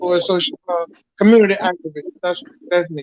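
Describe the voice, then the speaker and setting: A man's high-pitched voice in a Georgia accent, at a moderate pace with fairly even intonation. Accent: Southern US, Georgia. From Georgia, US South. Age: 60s. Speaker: bass player. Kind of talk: casual chat. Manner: halting.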